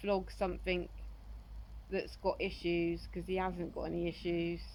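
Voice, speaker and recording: Speaking at a moderate pace, a woman is heard with audible room echo. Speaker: horse owner selling a horse. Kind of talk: casual vlog talk. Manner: monotone; hesitant, many fillers.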